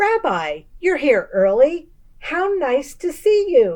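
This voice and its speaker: A woman puts on a character voice, high-pitched with very wide pitch swings and a very slow pace. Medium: read story. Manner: warm, chatty, hospitable.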